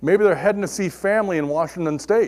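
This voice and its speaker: A man speaks loudly with lively intonation on a very clean recording with a silent background. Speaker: technical trainer. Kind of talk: technical presentation. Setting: classroom with audience. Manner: animated.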